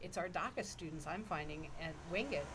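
A woman speaks with a lively, bouncing intonation. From Toronto, Canada. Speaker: ethics professor and eco-theologian. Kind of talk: casual interview conversation.

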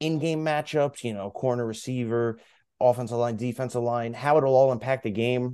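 At a moderate pace, the speaker talks in a dark, mellow tone. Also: man. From Long Island, New York. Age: 20s. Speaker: podcast co-host. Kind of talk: casual chat.

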